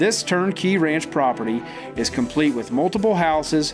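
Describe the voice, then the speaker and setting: A man talks at a moderate pace, his intonation lively, with music playing in the background. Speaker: real estate agent. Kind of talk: property auction promo read.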